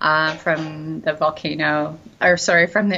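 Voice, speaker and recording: A woman speaks at a fairly slow pace with a Canadian accent. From Canada, Brockville, Ontario. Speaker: digital nomad, travel guest. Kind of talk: casual interview chat. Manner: hesitant, many fillers.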